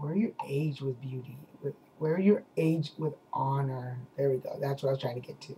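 With fairly even intonation, a man uses a normal speaking voice pitched fairly high. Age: 40s. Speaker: video blogger. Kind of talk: casual vlog chat. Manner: relaxed, conversational. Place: home room. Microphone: webcam.

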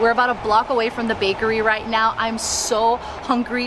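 Over clearly audible background noise, a woman speaks at a moderate speed. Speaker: travel vlogger. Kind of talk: casual vlog chat. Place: street.

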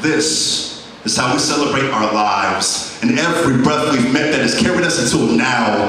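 A man's fairly high voice at a moderate pace, lively in intonation with hardly any pauses, amid strong room echo and light background noise. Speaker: spoken word poet. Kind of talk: spoken word poetry performance. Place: stage.

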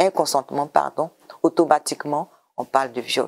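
A woman speaks with a very deep, low voice. Her intonation stays fairly even at a fairly quick pace. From Côte d'Ivoire. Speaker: government program director; interview guest. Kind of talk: TV interview. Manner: hesitant, repeats words. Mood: calm, explanatory. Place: studio. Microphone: lapel.

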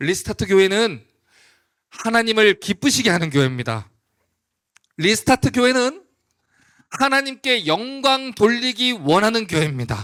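A man's high voice with a bright, sharp tone and very wide pitch swings, at a fairly slow pace with long, frequent pauses, on a very clean recording with a silent background. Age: young. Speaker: pastor. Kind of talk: sermon. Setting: church.

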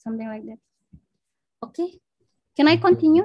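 With an Indonesian accent, a woman speaks in a dark, mellow tone against a quiet background. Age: 20s. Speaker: biomedical researcher; presenter at teacher club. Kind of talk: lecture. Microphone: video call.

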